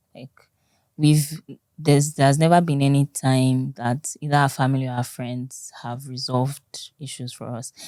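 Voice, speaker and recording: A woman with a very deep, low pitch and a dark, mellow tone speaks at a moderate pace in a monotone, flat intonation, with big swings in loudness and a dry, close sound with no echo. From Nigeria, Yoruba. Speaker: married guest sharing relationship story. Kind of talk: casual interview.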